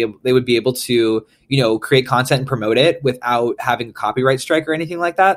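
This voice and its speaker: Recorded very cleanly against a silent background, a man with an American accent uses an unremarkable speaking voice at medium pitch with ordinary pitch variation. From US Midwest, St. Paul, Minnesota. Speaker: pop punk musician. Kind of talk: recorded interview answers.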